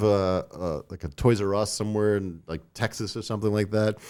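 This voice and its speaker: A man with a Long Island accent, fairly low pitch and a dark, mellow tone, at a fairly quick pace over a very clean recording with a silent background. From US Northeast, Long Island, New York. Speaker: toy designer and company owner. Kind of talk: casual podcast interview. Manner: casual, filler-heavy.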